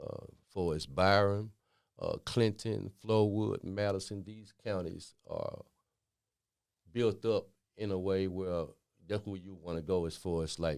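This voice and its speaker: The speaker has a Mississippi accent and a fairly slow pace with long, frequent pauses. Intonation stays fairly even on a very clean recording with a silent background. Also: man. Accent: Southern Mississippi. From Jackson, Mississippi (US South). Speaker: interviewee in community podcast. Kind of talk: casual interview. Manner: halting, many fillers.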